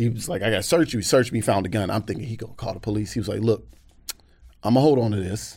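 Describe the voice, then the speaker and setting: At a very fast pace, a man speaks at medium pitch in a somewhat breathy voice with ordinary pitch variation. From US South, Atlanta. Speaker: comedian. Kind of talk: casual chat. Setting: studio.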